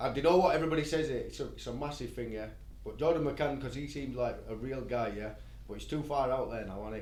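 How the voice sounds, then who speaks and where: Talking at a very fast pace with a Yorkshire accent, a man shows big swings in loudness amid audible room echo. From Bradford, West Yorkshire, England. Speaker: rapper. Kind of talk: podcast interview. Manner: fast, hyped up.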